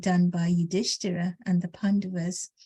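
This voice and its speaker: A woman's somewhat breathy voice, dark and mellow in tone, dry and close with no echo, against a quiet background. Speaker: scripture class speaker. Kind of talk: religious discourse. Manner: halting, many fillers.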